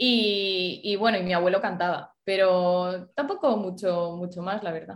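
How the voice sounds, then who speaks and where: An ordinary speaking voice: a woman at medium pitch, with fairly even intonation, talking at a fairly slow pace with hardly any pauses. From Spain, El Bierzo (León). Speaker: singer-songwriter. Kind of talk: interview.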